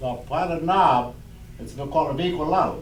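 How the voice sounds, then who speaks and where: There is audible room echo and noticeable background noise as a man talks with ordinary pitch variation. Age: 80s+. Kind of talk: oral history storytelling. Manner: halting, with many fillers.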